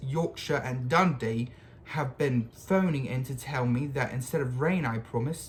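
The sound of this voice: This is an unforced reading voice. The pitch variation is ordinary.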